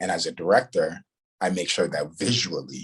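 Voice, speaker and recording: A man at a moderate pace with a Ghanaian accent. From Ghana, moved to New York. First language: Ghanaian language. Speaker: writer and director. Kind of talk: interview. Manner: halting, many fillers.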